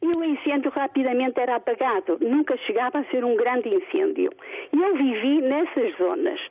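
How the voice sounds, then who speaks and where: High-pitched woman at a moderate pace, very wide pitch swings and very even loudness, over noticeable background noise. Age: 60s. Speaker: retired caller. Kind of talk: phone-in opinion. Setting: phone call.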